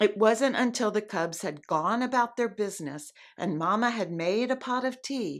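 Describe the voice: The voice delivers a plain reading aloud with lively intonation.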